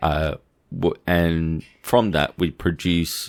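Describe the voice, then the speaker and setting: In a very clean recording with a silent background, a man with an Australian accent speaks in a very deep, low pitch. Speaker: consciousness researcher. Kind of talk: casual academic discussion.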